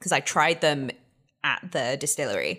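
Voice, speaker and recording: A woman with an American accent and a normal speaking voice, at a moderate pace with ordinary pitch variation, in a very clean recording with a silent background. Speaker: guest whisky taster. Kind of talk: casual chat.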